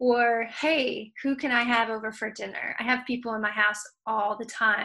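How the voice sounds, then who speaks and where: A woman's bright, sharp voice in an American accent, fairly high pitched, monotone and flat, at a moderate pace. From Michigan. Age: 40s. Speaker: music industry consultant and youth group leader. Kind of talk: casual interview chat.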